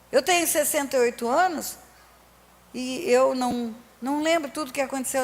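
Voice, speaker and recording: Noticeable background noise accompanies this woman's high-pitched voice. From Brazil, Resende (Rio de Janeiro state). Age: 60s. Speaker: pastor. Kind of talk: sermon. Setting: church.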